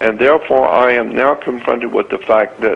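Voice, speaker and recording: A man speaks at a moderate pace while noticeable background noise carries on around him. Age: 70s. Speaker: conspiracy lecturer. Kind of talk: rant. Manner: animated.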